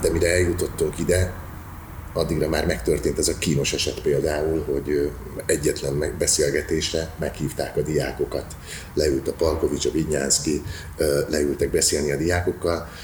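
At a moderate pace, the voice holds very even loudness against noticeable background noise. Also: man. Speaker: actor and drama teacher. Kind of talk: interview. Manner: halting.

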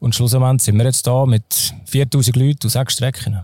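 A man with a slight Zurich accent speaks at medium pitch, somewhat breathy, in a dark, mellow tone. His intonation stays fairly even on a very clean recording with a silent background. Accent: Zurich Swiss German, slight. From Switzerland, Zurich. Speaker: mountain guide and trail race organizer. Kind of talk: casual interview. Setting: outdoors on hotel terrace.

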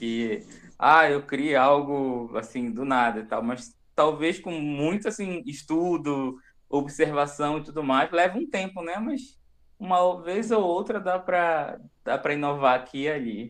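A man's ordinary speaking voice, fairly high in pitch, with lively intonation against a quiet background. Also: fairly slow pace. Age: 20s. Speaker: gastronomy graduate, hospital cook. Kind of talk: casual chat.

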